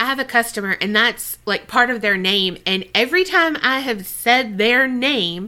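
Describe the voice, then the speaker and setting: An American-accented woman with a fairly high pitch and a bright, sharp tone talks at a moderate pace with hardly any pauses, her animated tone and lively intonation standing out. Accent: mild Southern, taken for a northerner. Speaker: podcast co-host. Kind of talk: casual chat.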